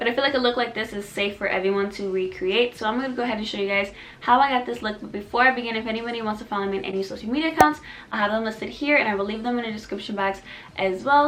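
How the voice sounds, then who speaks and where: Noticeable background noise beneath a woman's voice, fairly high in pitch with ordinary variation. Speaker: beauty vlogger. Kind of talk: makeup tutorial chat. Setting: at home, late at night. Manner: casual, chatty; quiet.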